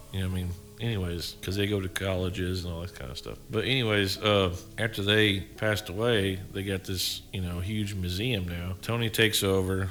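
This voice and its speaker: A man with a Tennessee accent, very deep and low in pitch, at a fairly quick pace. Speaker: paranormal podcast co-host. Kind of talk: casual chat. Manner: rambling with fillers, animated.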